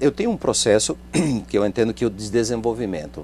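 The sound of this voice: This man's voice has a dark, mellow tone and vocal fry, and his pitch swings very widely.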